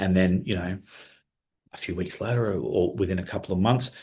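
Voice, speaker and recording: Against a quiet background, a man speaks in a fairly low, somewhat breathy voice, his pitch varying in an ordinary way. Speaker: software trainer. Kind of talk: webinar tutorial. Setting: live online webinar. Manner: fast; enthusiastic.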